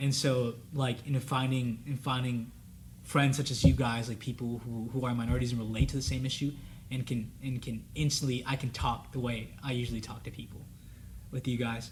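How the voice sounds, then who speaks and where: A man's somewhat breathy, monotone voice at medium pitch, moving at a fairly quick pace with flat intonation. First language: Spanish. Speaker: college student panelist. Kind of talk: casual panel discussion.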